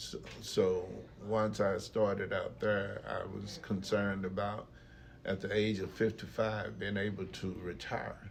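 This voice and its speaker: With an American accent, a man speaks at a fairly slow pace amid audible room echo. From East Texas, US. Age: 60s. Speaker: retired factory worker and entrepreneur. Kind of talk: casual interview. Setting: podcast.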